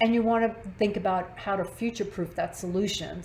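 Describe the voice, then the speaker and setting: The intonation stays fairly even, with audible echo in the room. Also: woman. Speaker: marketing executive presenting. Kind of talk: webinar presentation. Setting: online webinar. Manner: fast.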